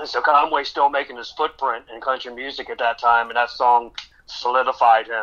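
A man with an American accent, a bright, sharp tone, monotone, flat intonation and a moderate pace. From Maryland, near Baltimore. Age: 50s. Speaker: tribute artist singer. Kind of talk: radio interview.

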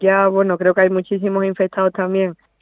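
The speaker is a woman. She talks with an Andalusian accent. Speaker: professional golfer. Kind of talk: interview.

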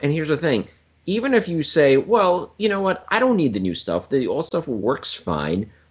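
A man talks at a fairly quick pace in an animated tone. His pitch swings very widely. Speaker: podcast co-host. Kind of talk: informal. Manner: casual, animated, profane.

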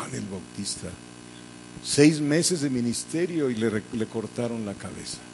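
A man at a fairly slow pace, with big swings in loudness and audible room echo. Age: 70s. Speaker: pastor. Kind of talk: sermon.

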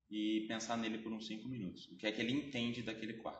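Audible room echo surrounds speech delivered at a fairly quick pace. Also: man. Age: 20s. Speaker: art history teacher. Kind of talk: explanatory interview.

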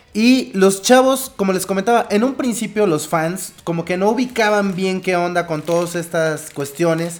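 With noticeable background noise behind him, a man with a high-pitched voice speaks at a moderate pace with hardly any pauses. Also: ordinary pitch variation. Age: 30s. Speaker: podcast co-host. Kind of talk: casual chat. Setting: live internet radio broadcast.

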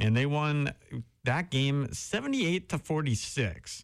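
In a very clean recording with a silent background, a man with a Wisconsin accent speaks in a fairly high voice with lively intonation. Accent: Upper Midwest (Wisconsin). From Wisconsin (Howard, near Green Bay). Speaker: college radio sports host. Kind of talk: sports talk show. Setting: radio studio.

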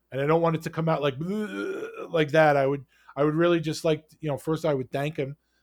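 With a New York accent, a man speaks at a fairly quick pace. The sound is dry and close, with no echo. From New York, Queens. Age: 40s. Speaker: hockey podcaster. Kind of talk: casual interview.

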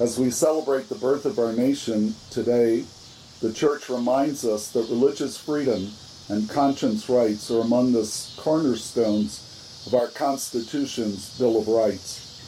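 Over noticeable background noise, a man with a medium-pitched voice speaks at a fairly slow pace, with very even loudness and ordinary pitch variation. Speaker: archbishop. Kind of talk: guided rosary meditation with reflective reading. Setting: outdoor grotto at a monastery. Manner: calm, measured, formal.

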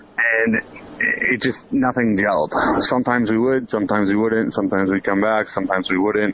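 A man at a medium pitch and a fairly quick pace, very even in loudness, with fairly even intonation over noticeable background noise. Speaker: ice hockey assistant coach. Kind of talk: recorded interview.

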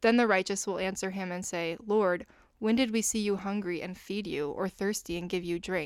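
In a very clean recording with a silent background, a woman with an American accent speaks in a plain, everyday voice at medium pitch, moderate pace and fairly even intonation. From United States. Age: 20s. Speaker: music education student. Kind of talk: casual chat; scripture reading.

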